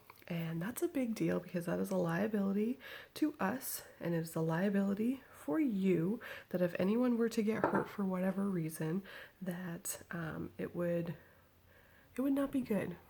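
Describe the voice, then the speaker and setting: Somewhat breathy and dark, mellow in tone, a woman at a medium pitch speaks at a moderate pace with lively intonation. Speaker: vlogger. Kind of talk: casual chat. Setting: at home, baby in crib nearby.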